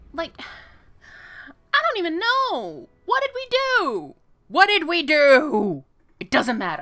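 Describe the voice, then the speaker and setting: Speaking with an American accent, a woman projects a raised voice at an extremely high pitch and a very slow pace, her pitch swinging very widely, her loudness changing a lot, and her long pauses coming often. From New York. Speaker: gaming video creator. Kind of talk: let's play commentary. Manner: animated, rambling repetition.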